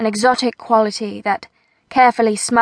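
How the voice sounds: A natural reading voice with fairly even intonation is heard against a quiet background.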